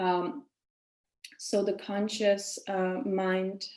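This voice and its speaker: A woman speaks with a Czech accent. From Czech Republic. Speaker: women's coach and yoga teacher. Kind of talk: webinar lecture.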